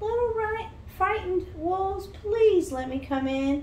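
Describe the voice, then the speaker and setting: In a put-on character voice, a squeaky woman talks at a fairly slow pace with extremely high pitch over clear background noise. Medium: read story. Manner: sly, menacing.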